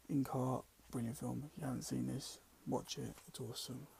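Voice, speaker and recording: A man speaks quietly at a moderate pace in a hoarse, put-on character voice of medium pitch. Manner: enthusiastic.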